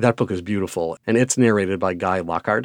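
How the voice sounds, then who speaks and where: A man speaks with an American accent at a fairly low pitch and a fairly quick pace, with fairly even intonation. The recording is very clean with a silent background and a dry, close sound with no echo. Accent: Midwestern, slight, thicker when annoyed. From Wisconsin. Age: 40s. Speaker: children's book author and educator. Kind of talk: interview monologue.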